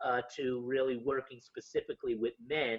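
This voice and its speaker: A man at a medium pitch and moderate pace, in a New York accent with ordinary pitch variation. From Yonkers, New York, US. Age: 50s. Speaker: homeless ministry founder. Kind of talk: interview storytelling. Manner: halting, many fillers.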